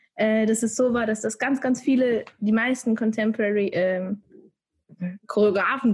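At a moderate pace, a woman speaks in a somewhat breathy, fairly high voice with fairly even intonation. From Switzerland. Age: 20s. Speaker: dancer. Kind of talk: casual chat.

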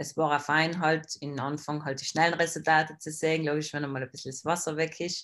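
A woman speaks at a moderate pace in a very deep, low pitch. Her intonation is monotone and flat, and the recording is very clean with a silent background. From South Tyrol, Italy. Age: 20s. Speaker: bodybuilding athlete. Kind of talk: casual interview.

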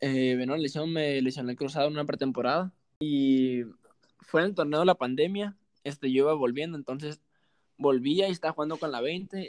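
A man with an ordinary speaking voice, fairly high in pitch with ordinary variation, at a fairly quick pace, in dry, close sound with no echo. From Mexico, Sinaloa (Los Mochis, rural ranch). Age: 20s. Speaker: professional football striker. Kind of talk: casual interview chat.

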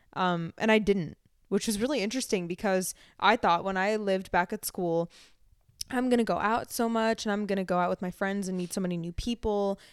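In an American accent, a woman with an unremarkable speaking voice talks fairly quickly at a medium pitch with fairly even intonation, in a very clean recording with a silent background and a dry, close sound with no echo. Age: 20s. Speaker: podcast co-host. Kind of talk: casual chat.

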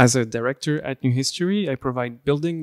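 In a Belgian French accent, a man speaks at medium pitch with ordinary pitch variation, in a dry, close sound with no echo and a very clean recording with a silent background. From Belgium. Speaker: historic preservation consultant. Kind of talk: interview.

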